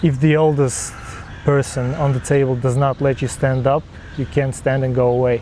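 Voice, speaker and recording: The voice runs at a moderate pace with monotone, flat intonation. Noticeable background noise sits underneath. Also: man, medium pitch for a man. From Jordan. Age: 20s. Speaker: university student. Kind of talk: interview testimony.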